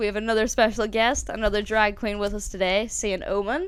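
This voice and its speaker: Her pace fairly quick, a woman talks at a fairly high pitch. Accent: Northern Irish. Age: 20s. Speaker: podcast co-host. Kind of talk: casual chat.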